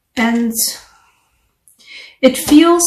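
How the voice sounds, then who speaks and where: A woman is speaking. Audible echo bounces around the room. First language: not English. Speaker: tarot reader. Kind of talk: tarot reading. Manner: casual, conversational.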